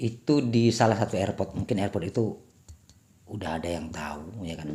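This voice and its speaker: This man speaks at a fairly quick pace. He has a slight Batak accent. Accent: slightly Batak-tinged Indonesian. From Sumatra, Indonesia. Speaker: vlogger. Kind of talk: casual vlog chat. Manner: hesitant, filler-heavy.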